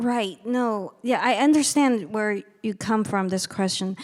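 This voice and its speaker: On a very clean recording with a silent background, a woman with a fairly high pitch speaks with lively intonation. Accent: Chinese. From China. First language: Chinese. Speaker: novelist and lecturer. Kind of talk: audience Q&A answer.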